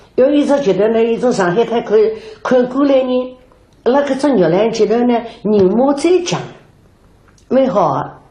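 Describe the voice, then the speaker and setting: Against noticeable background noise, a woman with a high pitch speaks at a fairly slow pace with lively intonation, very even loudness and long, frequent pauses. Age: 80s. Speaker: Yue opera performer. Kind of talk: documentary interview answer. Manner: slow, reminiscing.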